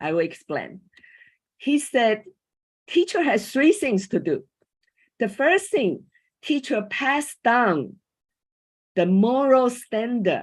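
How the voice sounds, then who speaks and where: Against a quiet background, a woman with a Chinese accent speaks at a high pitch and a very slow pace, with very wide pitch swings and long, frequent pauses. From Taiwan. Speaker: coach and former school teacher. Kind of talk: panel talk. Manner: halting.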